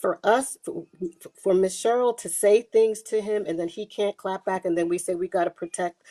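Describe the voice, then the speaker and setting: Heard dry and close with no echo, a woman talks at a moderate pace in a dark, mellow tone, her medium pitch showing ordinary variation. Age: 50s. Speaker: panelist in live stream discussion. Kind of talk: heated debate.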